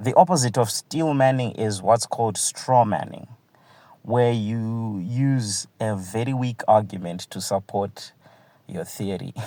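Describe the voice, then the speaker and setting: Medium in pitch for a man, this voice has a dark, mellow tone and a non-native accent. He moves at a fairly slow pace with lively intonation. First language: not English. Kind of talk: televised panel debate.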